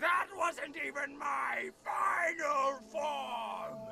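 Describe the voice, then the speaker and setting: Over clear music, a man shouts in a put-on character voice at an extremely high pitch and a very slow pace. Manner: defiant, boastful.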